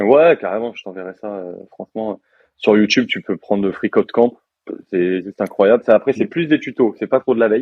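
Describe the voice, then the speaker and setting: A man speaks at a moderate pace. His medium-pitched voice shows ordinary pitch variation. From France. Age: 20s. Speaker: software developer. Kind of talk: casual interview. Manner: casual, many hesitations.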